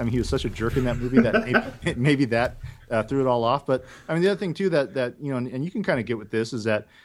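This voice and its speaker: A man with a medium pitch talks at a very fast pace with lively intonation. The recording is very clean, with a silent background. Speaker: podcast segment guest. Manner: fast talker; blunt, opinionated.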